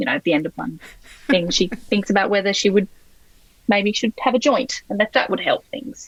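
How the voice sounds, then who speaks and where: In an Australian accent, a woman speaks at a medium pitch with lively intonation and a somewhat breathy voice, in a dry, close sound with no echo. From Sydney, Australia. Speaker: novelist. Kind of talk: interview answer.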